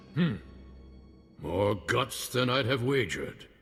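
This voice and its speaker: Putting on a character voice, a man speaks fairly slowly at medium pitch in a very clean recording with a silent background. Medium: video game. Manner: gruff, blunt.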